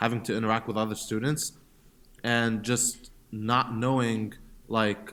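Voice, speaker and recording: At a fairly slow pace, a man speaks with an Egyptian accent in a very clean recording with a silent background. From Middle East (Egypt, Saudi Arabia, Jordan). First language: Arabic (Egyptian). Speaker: startup founder. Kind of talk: interview. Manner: hesitant, many fillers and repeats.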